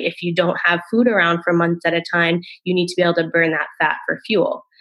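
Using an unremarkable speaking voice, a woman with an American accent talks at a moderate pace, fairly low in pitch and with fairly even intonation. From US Northeast, Rhode Island. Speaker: naturopathic doctor. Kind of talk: podcast interview, explanatory.

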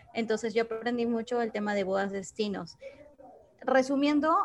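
Here a woman with a fairly high pitch speaks at a moderate pace. There is noticeable background noise. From Peru. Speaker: event participant. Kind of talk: audience question. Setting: video call.

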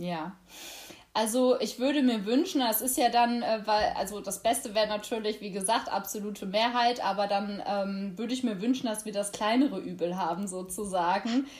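A woman speaks at a moderate pace in a fairly high pitch with ordinary pitch variation. Noticeable background noise runs behind her. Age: 20s. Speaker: youth party chair and lawyer. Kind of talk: interview.

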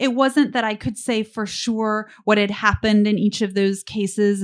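A woman talks in an ordinary speaking voice with fairly even intonation. The recording is very clean, with a silent background. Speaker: essayist. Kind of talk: reading aloud. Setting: bar stage with live audience.

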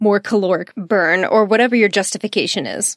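Speaking in a Texan accent, a woman has a fairly high pitch, ordinary pitch variation and a moderate pace. The sound is dry and close with no echo, on a very clean recording with a silent background. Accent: Texan American English. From Texas. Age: 20s. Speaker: podcast host and business mindset coach. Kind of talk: casual solo podcast monologue. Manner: animated.

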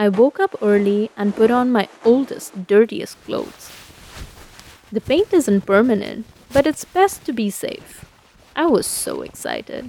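A woman speaks at a fairly slow pace in a fairly high pitch with lively intonation. The sound is dry and close with no echo, over noticeable background noise. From India. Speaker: storyteller. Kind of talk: scripted narration.

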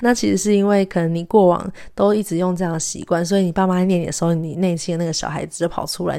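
Very fast and fairly even in intonation, a woman's fairly low voice carries a dark, mellow tone. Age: 20s. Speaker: podcast host and graduate student. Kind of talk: solo podcast monologue.

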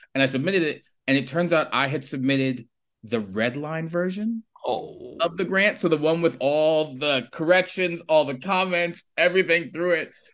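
A man with an unremarkable speaking voice talks at a moderate pace, his fairly high pitch moving with ordinary variation. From Harlem, New York City. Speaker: nonprofit chief executive. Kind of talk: casual interview.

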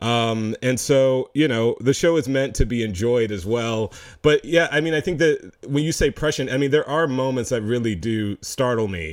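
A man with a plain, everyday voice, medium pitch and ordinary pitch variation, at a moderate pace with hardly any pauses. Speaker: filmmaker. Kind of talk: casual interview chat.

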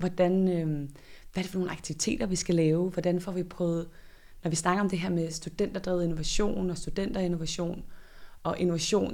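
This woman has an unremarkable speaking voice with a fairly low pitch. She keeps fairly even intonation at a moderate pace. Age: 30s. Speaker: director of a student innovation centre. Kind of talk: interview. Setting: on location in a building under renovation.

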